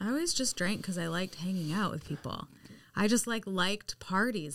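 A woman speaks in a plain, everyday voice at medium pitch, with ordinary pitch variation and a moderate pace. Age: 30s. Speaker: spirit medium and coach. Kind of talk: casual interview.

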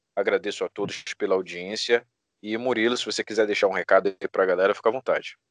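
A man talks at a very fast pace in a dry, close sound with no echo over a quiet background. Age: 20s. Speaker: podcast host. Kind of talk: casual interview chat.

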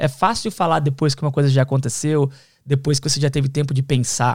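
A man's voice in a very clean recording against a silent background. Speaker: podcast host. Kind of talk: casual chat.

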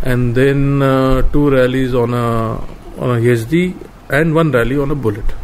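A man with a medium pitch talks at a fairly slow pace, with fairly even intonation and very even loudness, over noticeable background noise and audible room echo. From India, Rajasthan. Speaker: former motorcycle rally racer. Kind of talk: interview.

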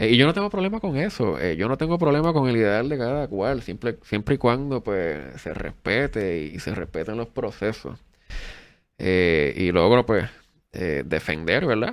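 On a very clean recording with a silent background, a man uses vocal fry at a medium pitch, speaking fairly slowly with very wide pitch swings. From Puerto Rico, Adjuntas (central mountains). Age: 30s. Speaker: political candidate and university professor. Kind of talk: interview.

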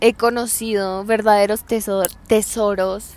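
Fairly high in pitch, a woman's voice is heard. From Hidalgo del Parral, Chihuahua, northern Mexico. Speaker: podcast host. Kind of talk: casual monologue. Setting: outdoors on the street. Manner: halting.

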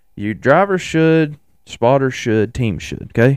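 A man with a Tennessee accent speaks in an animated tone at a moderate pace. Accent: Southern US (Tennessee). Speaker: racing podcast host. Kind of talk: solo casual commentary.

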